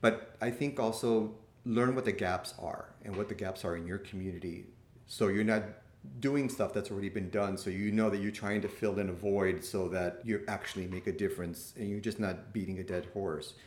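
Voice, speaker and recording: A man with a plain, everyday voice, fairly low pitch and an American accent, fairly even intonation at a moderate pace. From Miami, Florida (Cuban American). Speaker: nurse practitioner and clinical professor. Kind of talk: interview.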